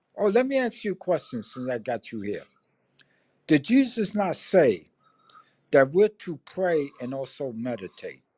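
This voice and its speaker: A man with a New York accent talks at a fairly slow pace in a high pitch with very wide pitch swings. The sound is dry and close with no echo, on a very clean recording with a silent background. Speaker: livestreamer. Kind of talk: casual chat.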